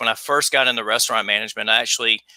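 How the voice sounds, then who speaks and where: Bright and sharp with vocal fry, a man's voice rushes along at a very fast pace. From US South, South Carolina. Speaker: talk show host. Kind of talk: casual interview chat.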